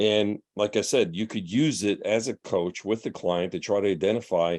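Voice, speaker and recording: Pitched fairly low, a man speaks with ordinary pitch variation. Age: 60s. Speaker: professor. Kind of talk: lecture. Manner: casual, hesitant.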